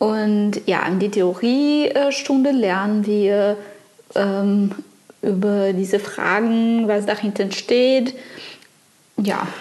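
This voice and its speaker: A woman with a non-native accent speaks very slowly at a medium pitch with ordinary pitch variation, very even loudness, and long, frequent pauses, over noticeable background noise. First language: not German (speaking German). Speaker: podcast co-host, sailing student. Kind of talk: casual chat. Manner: halting.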